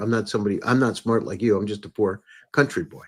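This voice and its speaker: A man with an ordinary speaking voice, medium pitch and ordinary pitch variation. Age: 60s. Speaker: podcast host and entrepreneur. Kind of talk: interview conversation. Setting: live stream.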